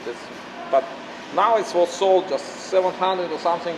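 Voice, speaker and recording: Against noticeable background noise, a man with a Russian accent speaks at a high pitch. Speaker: drift car video maker. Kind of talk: casual chat. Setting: garage. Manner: halting.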